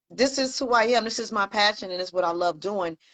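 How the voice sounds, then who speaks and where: A woman with an ordinary speaking voice talks in an American accent, pitched fairly high with lively intonation. The sound is dry and close, with no echo. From Pittsburgh, US. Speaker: online show host. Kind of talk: casual chat.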